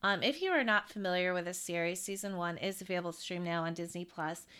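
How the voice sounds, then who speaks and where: Speaking at a fairly quick pace, a woman with an unremarkable speaking voice holds a medium pitch and fairly even intonation in a very clean recording with a silent background. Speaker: podcast co-host. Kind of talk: casual podcast chat about entertainment news.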